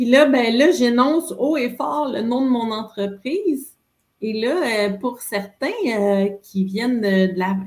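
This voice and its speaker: A woman with a Quebec accent speaks at a very slow pace. Her pitch is high and her intonation lively. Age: 50s. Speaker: entrepreneur. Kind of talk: interview conversation. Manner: animated.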